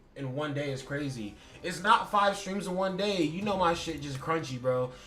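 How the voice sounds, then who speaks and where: A man's fairly high voice with ordinary pitch variation, plus audible room echo and noticeable background noise. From USA. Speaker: streamer. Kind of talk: casual livestream chat. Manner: animated.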